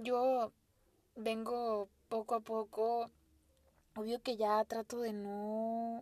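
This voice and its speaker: A woman speaks very slowly in a fairly high, monotone voice with long, frequent pauses, her sound dry and close with no echo. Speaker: podcast host. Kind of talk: casual monologue. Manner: halting, stuttering at times.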